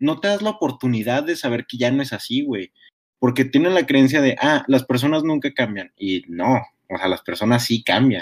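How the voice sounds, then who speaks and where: In a normal speaking voice, a man of medium pitch talks at a moderate pace with lively intonation, recorded dry and close with no echo. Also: very clean recording, silent background. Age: young. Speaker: podcast host. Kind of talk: casual chat.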